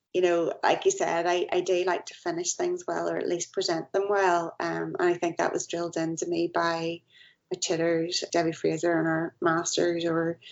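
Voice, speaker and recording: A woman with a Northern Irish accent talks at a moderate pace. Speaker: multidisciplinary artist. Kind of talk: podcast interview.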